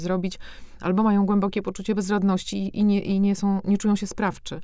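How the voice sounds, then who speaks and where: A woman talks at a very fast pace in a dark, mellow tone. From Warsaw, Poland. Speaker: novelist. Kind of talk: interview conversation.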